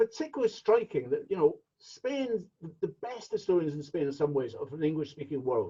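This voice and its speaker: A man in a Scottish accent talks at a fairly quick pace, his dark, mellow tone marked by very wide pitch swings. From Scotland. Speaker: meeting chair. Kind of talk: chairing a virtual meeting. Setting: video call.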